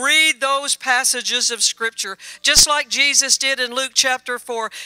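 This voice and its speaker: In a Southern US accent, a woman projects a raised, high-pitched voice with a bright, sharp tone. She keeps a fairly slow pace and fairly even intonation, recorded with a dry, close sound and no echo. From Louisiana. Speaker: missionary minister. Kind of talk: sermon. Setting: church with congregation.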